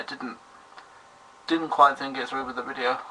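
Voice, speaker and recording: A man with a British accent and ordinary pitch variation, amid noticeable background noise. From Britain. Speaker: vlogger. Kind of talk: video response vlog. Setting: webcam recording. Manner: formal; halting.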